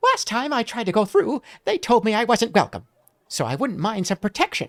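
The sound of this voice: A man's put-on character voice, squeaky and high-pitched, at a fairly quick pace, in a very clean recording with a silent background.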